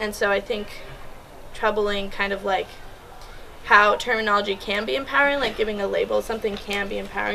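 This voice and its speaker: Talking very fast at a medium pitch with ordinary pitch variation, a woman is heard over noticeable background noise. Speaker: student presenter. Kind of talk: classroom presentation. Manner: casual, many fillers like 'like' and 'um'.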